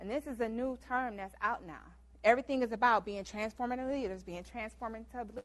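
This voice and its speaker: A woman with an American accent, fairly high-pitched and fairly quick, with ordinary pitch variation and big swings in loudness. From US Midwest, Detroit Michigan. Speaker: guest lecturer. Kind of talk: lecture. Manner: fast.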